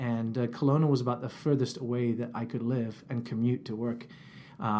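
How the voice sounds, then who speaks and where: A man speaks at a fairly quick pace and a medium pitch. His intonation is monotone and flat. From India (English family), then Cyprus. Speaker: church community worker. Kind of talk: interview. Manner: halting.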